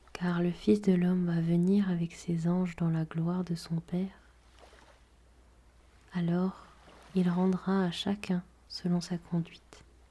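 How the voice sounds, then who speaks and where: Very slowly, a woman talks in a fairly low, somewhat breathy voice with a dark, mellow tone and a calm, soothing tone. Her intonation is monotone and flat, and she takes long, frequent pauses. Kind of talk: guided prayer and gospel reading.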